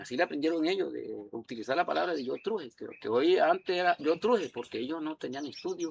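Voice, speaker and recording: A man talking very fast with hardly any pauses, in a dry, close sound with no echo. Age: 70s. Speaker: elderly local resident. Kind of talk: interview.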